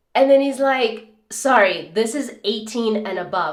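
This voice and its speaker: Audible room echo surrounds a woman's voice. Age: 30s. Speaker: skincare vlogger. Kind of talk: casual chat. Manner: animated.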